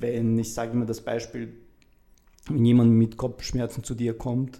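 Speaking at a moderate pace, a man has a medium pitch, a dark, mellow tone and monotone, flat intonation. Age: 30s. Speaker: mental coach and mentor. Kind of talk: interview. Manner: halting.

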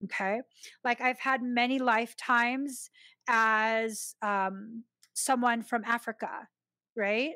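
At a very slow pace, a woman speaks in a fairly high, bright, sharp voice with very even loudness, the sound dry and close with no echo on a very clean recording over a silent background. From Filipino heritage. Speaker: spiritual podcast host. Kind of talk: live-stream Q&A with viewer comments. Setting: YouTube live stream. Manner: animated, laughs often.

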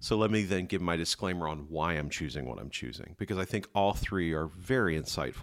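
On a very clean recording with a silent background, a man with a very deep, low pitch and vocal fry talks at a fairly quick pace with ordinary pitch variation. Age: 50s. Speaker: guest, father of a host, counselor. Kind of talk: casual debate chat.

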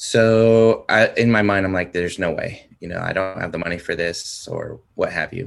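Over a quiet background, a man with an American accent keeps a moderate pace with hardly any pauses. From US West Coast (San Diego, California). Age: 40s. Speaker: metal fan, concertgoer. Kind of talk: casual chat.

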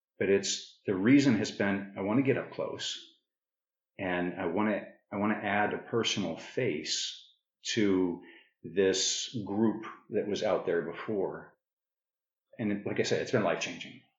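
A fairly low-pitched man with an American accent, fairly even intonation and long, frequent pauses, amid audible room echo. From northern Arizona, US. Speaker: podcast host. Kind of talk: casual interview conversation.

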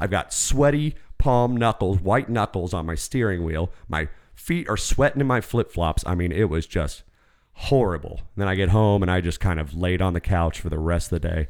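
A man with a very deep, low pitch, animated in tone with lively intonation at a moderate pace, on a very clean recording with a silent background. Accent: American. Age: 30s. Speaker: podcast host. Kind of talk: casual chat. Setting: studio.

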